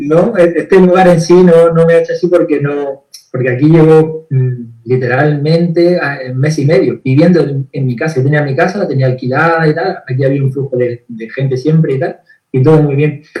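At a moderate pace, an unremarkable speaking voice carries fairly even intonation. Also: man, fairly high pitch for a man. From Andalusia, Spain (Granada). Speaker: therapist. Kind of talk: video interview. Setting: live stream.

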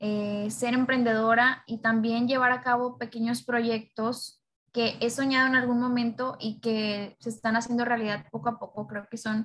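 A woman with a fairly high pitch talks at a moderate pace in a monotone, flat way. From Mexico, Nuevo Laredo (Tamaulipas). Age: 20s. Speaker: radio presenter and student influencer. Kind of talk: podcast interview.

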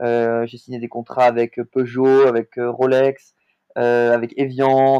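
With a medium pitch and a dark, mellow tone, a man speaks in monotone, flat intonation, and the sound is dry and close with no echo. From southern France, Montpellier. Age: 20s. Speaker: sports agent. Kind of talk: interview. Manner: hesitant, frequent fillers and repetitions.

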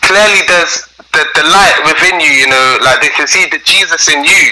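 A man with a London accent talks at a very even loudness over noticeable background noise. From South London. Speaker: gospel musician. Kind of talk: interview. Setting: remote call.

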